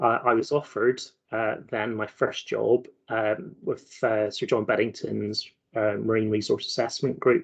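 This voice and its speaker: A man with a Belfast accent speaks at a fairly slow pace. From Northern Ireland, Belfast. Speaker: marine scientist. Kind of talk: careers talk presentation.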